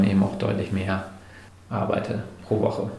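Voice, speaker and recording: A man with a fairly low pitch is heard with audible room echo and noticeable background noise. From northern Germany (Hamburg). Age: 30s. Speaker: entrepreneur. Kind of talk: interview. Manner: hesitant, many filler sounds.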